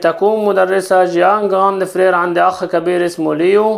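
The background is quiet. A man speaks at a high pitch and a fairly slow pace. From Egypt. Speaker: French teacher. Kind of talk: lesson. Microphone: phone near.

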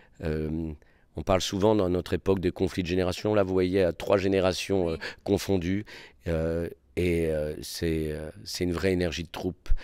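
A man talks at a fairly slow pace with long, frequent pauses, his very deep, low voice dark and mellow and monotone with flat intonation. The sound is dry with no echo against a quiet background. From Réunion. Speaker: theatre director and actor; actor. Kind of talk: interview. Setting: theatre. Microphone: handheld.

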